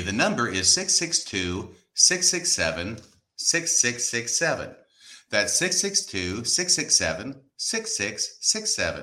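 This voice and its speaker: Using vocal fry, a man speaks with very wide pitch swings. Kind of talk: casual banter on a live show. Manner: jokey, chatty, teasing.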